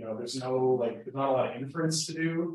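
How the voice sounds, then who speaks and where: This man's voice sits at a fairly high pitch with ordinary pitch variation. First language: Spanish. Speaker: lecturer. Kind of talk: lecture Q&A. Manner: casual, halting with repetitions.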